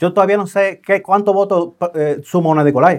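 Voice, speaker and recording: A man talking at a fairly slow pace. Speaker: podcast host. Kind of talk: interview. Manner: casual.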